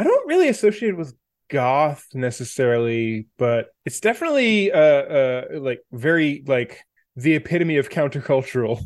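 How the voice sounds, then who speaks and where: A man with a fairly high pitch and an unremarkable speaking voice talks at a moderate pace with lively intonation. The recording is very clean, with a silent background. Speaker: video game developer. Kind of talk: casual chat.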